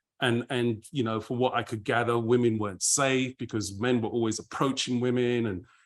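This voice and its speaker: With a London accent, a man talks at a moderate pace in a medium pitch, using a monotone, flat intonation and hardly any pauses, on a very clean recording with a silent background. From London, England. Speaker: party founder and DJ curator. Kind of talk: casual interview chat.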